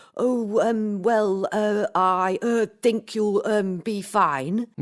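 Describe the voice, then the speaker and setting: In a put-on character voice, a woman speaks very slowly at a medium pitch with ordinary pitch variation. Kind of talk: full of filler words. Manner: hesitant, nervous.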